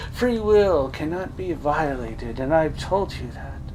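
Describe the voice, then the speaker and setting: With loud background noise behind him, a man does a put-on character voice at a fairly high pitch and a moderate pace. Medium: read story. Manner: patronizing, calls him dear.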